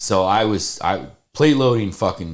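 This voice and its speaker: With an animated tone and lively intonation, a man is heard on a very clean recording with a silent background. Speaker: podcast host, powerlifter. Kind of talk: casual chat. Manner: loud.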